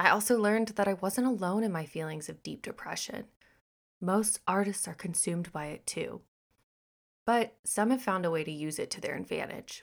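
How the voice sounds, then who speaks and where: In an American accent, a woman with an ordinary speaking voice talks at a moderate pace with medium pitch and ordinary pitch variation, on a very clean recording with a silent background. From Texas and Missouri. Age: 20s. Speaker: podcast host. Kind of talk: reading aloud.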